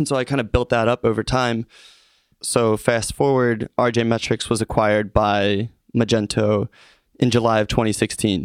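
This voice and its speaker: A man with an American accent speaks in an ordinary speaking voice at medium pitch and a moderate pace, with fairly even intonation and very even loudness, recorded dry and close with no echo. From Philadelphia area (Norristown, Pennsylvania). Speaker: social media influencer. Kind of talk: interview.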